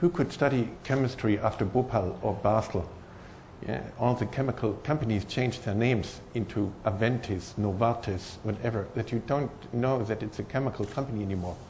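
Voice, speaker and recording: In a strong German accent, a somewhat breathy man speaks fairly quickly at a medium pitch with ordinary pitch variation, and the room echo is audible. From Germany. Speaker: professor. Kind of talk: conference talk. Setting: stage with audience. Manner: hesitant, many fillers.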